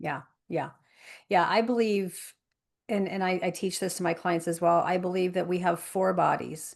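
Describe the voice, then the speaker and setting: A woman with a plain, everyday voice, medium pitch, fairly even intonation and a moderate pace, against a quiet background. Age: 50s. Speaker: life coach and speaker. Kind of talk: interview conversation. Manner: repetitive false starts.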